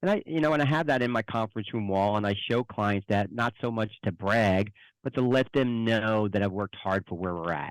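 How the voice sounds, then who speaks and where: A man with a New Jersey accent at a fairly low pitch and a fairly quick pace, in a dry, close sound with no echo over a very clean recording and silent background. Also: ordinary pitch variation, hardly any pauses. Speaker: financial advisor. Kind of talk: interview.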